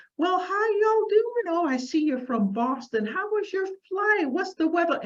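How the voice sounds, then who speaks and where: A put-on character voice that sounds female, pitched extremely high for a woman and delivered at a moderate pace. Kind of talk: casual. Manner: friendly, chatty.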